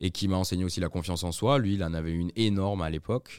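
Very deep and low, a man's voice moves with fairly even intonation. The recording is very clean with a silent background. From southern France (Aix/Marseille). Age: 30s. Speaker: advertising community manager. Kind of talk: casual chat.

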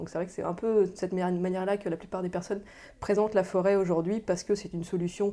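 In a very clean recording with a silent background, a woman with a fairly low pitch and a dark, mellow tone speaks at a fairly quick pace. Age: 30s. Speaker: director of a forest conservation association. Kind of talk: interview. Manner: halting, frequent hesitations and repetitions.

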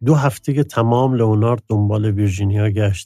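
A man's somewhat breathy, dark, mellow voice, fairly low in pitch, at a very fast pace. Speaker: literary podcast co-host. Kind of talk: scripted narration.

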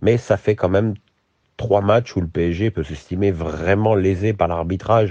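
A man talks at a fairly slow pace with a very deep, low pitch and a dark, mellow tone. His pitch varies in an ordinary way against a quiet background. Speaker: football commentator podcaster. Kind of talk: solo podcast commentary. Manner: hesitant with repetitions.

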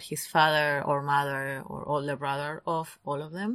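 With a non-native accent, a woman speaks in a very deep, low pitch and flat monotone at a moderate pace, the background quiet. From Argentina. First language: Spanish. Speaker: true crime podcast co-host. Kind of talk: casual chat.

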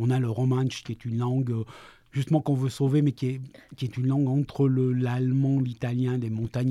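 A man speaks at medium pitch with a dark, mellow tone and a fairly quick pace. The recording is very clean with a silent background and a dry, close sound with no echo. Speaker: freelance journalist and novelist. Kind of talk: interview. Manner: halting, frequent repetitions.

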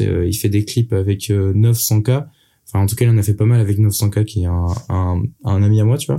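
Somewhat breathy and dark, mellow in tone, a man speaks at a moderate pace with ordinary pitch variation on a very clean recording with a silent background. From Brittany, France. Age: 20s. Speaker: rapper. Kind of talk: casual interview. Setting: in-person studio recording.

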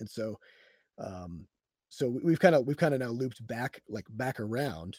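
Here a man with a US Midwestern accent talks at a moderate pace. The sound is dry and close with no echo, in a very clean recording with a silent background. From Iowa, US Midwest. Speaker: game studio CEO and programmer. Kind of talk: casual interview conversation. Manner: halting with fillers and repetitions.

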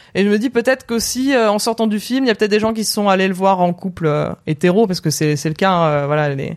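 In a very clean recording with a silent background, a woman speaks at a medium pitch with lively intonation. Her pace is fairly quick, with hardly any pauses. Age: 30s. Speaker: film content creator. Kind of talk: casual chat. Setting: Twitch live stream.

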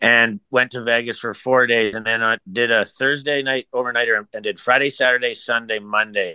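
The intonation is fairly even. It is an ordinary speaking voice. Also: man. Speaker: golf caddy, co-host. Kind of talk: casual chat.

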